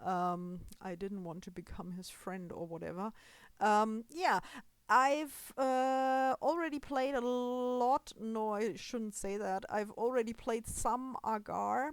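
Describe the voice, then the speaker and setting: A woman with a non-native accent, fairly high pitch, lively intonation and a very slow pace, on a very clean recording with a silent background. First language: German. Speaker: gaming video creator. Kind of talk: gameplay commentary. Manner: halting, with fillers.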